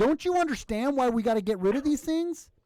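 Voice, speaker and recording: A man speaks in a serious tone. He has an American accent. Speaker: livestream show host. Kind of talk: casual chat. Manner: sarcastic, mock-serious.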